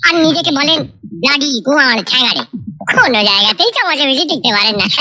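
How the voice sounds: A cartoonish character voice races along at a fast pace, its tone bright and sharp and its intonation lively, over faint background noise.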